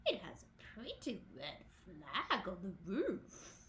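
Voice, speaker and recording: Using a put-on character voice, a female-sounding speaker at middle pitch talks at a very slow pace over clear background noise. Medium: read story. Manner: mild, hesitant.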